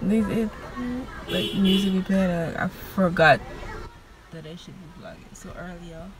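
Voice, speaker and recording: The speech is flat and monotone at a moderate pace, broken by long, frequent pauses. Loudness swings widely while crowd noise carries in the background. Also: woman, medium pitch for a woman. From Guyana. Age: 20s. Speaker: vlogger. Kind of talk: casual vlog talk.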